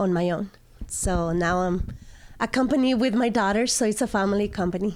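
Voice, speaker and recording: Ordinary pitch variation is heard on a very clean recording with a silent background. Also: woman. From Mexico, Aguascalientes. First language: Spanish. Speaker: estate sale business owner. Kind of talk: interview.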